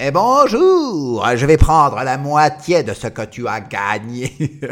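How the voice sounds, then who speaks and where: A man takes on a put-on character voice, pitched fairly high and delivered at a fairly slow pace. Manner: gruff, menacing, comic.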